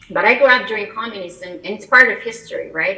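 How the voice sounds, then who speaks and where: Very fast speech from a woman, noticeable background noise behind her. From Albania. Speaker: immigration attorney. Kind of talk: interview.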